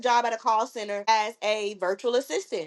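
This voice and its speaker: A woman speaks with an American accent. Her tone is animated. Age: 20s. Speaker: podcast host. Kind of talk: casual personal storytelling.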